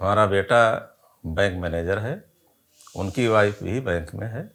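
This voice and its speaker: Here a man's fairly low voice carries ordinary pitch variation. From Lucknow region, Uttar Pradesh, India. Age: 60s. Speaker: retired civil servant, viewer sharing health experience. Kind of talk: interview testimony. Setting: at home.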